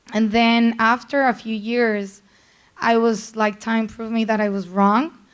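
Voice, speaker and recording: At a fairly slow pace, a woman with a strong Colombian accent speaks in a fairly high, monotone, flat voice. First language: Spanish. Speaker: PR executive. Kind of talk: panel talk.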